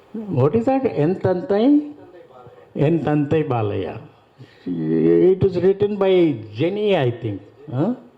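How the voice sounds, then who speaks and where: A man with a high pitch speaks at a very slow pace, his pitch swinging very widely. Long, frequent pauses break up his speech over noticeable background noise. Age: 70s. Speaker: retired college principal and author. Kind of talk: speech at a literary festival. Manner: halting.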